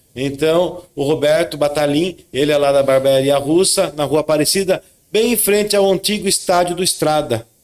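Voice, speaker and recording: In an interior São Paulo accent, a man with a fairly high pitch speaks at a moderate pace with hardly any pauses, very even loudness and ordinary pitch variation. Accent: Sorocaba interior São Paulo. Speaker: podcast co-host, lawyer. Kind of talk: casual chat.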